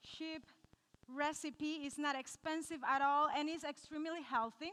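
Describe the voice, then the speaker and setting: The speaker has a Cuban accent and an animated tone. The voice is raised and projected. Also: woman. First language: Spanish. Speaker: nutritionist. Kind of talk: cooking demonstration talk to a live audience. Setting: live audience.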